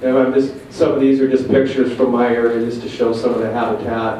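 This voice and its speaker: With an American accent, a man speaks at a medium pitch with fairly even intonation. Room echo is audible and background noise is noticeable. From US Pacific Northwest. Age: 50s. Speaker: Bigfoot researcher. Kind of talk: presentation. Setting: museum hall with audience. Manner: loud.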